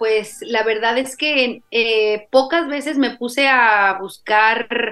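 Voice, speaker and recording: Bright, sharp tone from a woman, fairly high in pitch, with fairly even intonation. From Mexico, Jalisco. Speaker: polyamory podcaster. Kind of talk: interview conversation.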